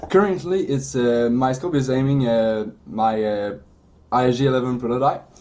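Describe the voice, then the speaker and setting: In a Quebec accent, a man of medium pitch speaks at a moderate pace with ordinary pitch variation. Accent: French-Canadian accent in English. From Quebec, Canada. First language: French. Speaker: 3D printing business owner. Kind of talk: interview. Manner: halting, many fillers.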